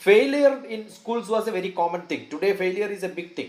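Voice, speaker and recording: A man speaks with a Keralan accent and ordinary pitch variation. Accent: Indian English, Malayali. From northern Kerala, India. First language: Malayalam. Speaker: scientist and educationalist. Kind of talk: interview.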